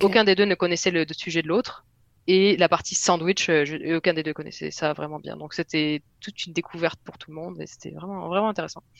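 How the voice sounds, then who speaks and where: A woman with a fairly low pitch, vocal fry, fairly even intonation and a fairly quick pace, in a dry, close recording with no echo. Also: big swings in loudness. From southwest France. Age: 30s. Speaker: software developer. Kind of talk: casual interview.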